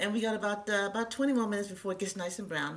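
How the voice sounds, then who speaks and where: Very fast and animated in tone, a woman speaks. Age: 60s. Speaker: cooking show host. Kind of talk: cooking tutorial.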